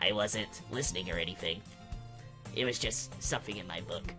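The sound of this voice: Doing a put-on character voice, a man speaks raspily at a fairly low pitch and a fairly quick pace, with clear music in the background.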